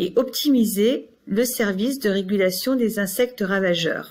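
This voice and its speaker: A somewhat breathy woman's voice. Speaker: researcher. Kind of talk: presentation.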